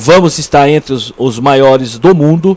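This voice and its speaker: This man has a fairly high voice. Its rise and fall stays ordinary. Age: 60s. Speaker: interview guest, local community figure. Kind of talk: radio interview. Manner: halting, many repetitions.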